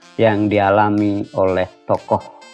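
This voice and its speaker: Music plays behind a man whose speech is very slow. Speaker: junior high school teacher. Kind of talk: educational lesson narration.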